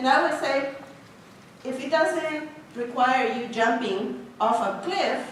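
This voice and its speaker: A woman with a non-native accent speaks very slowly in a high voice with ordinary pitch variation, long and frequent pauses, audible room echo and noticeable background noise. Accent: foreign. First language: not English. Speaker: engineering professor. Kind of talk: talk to students.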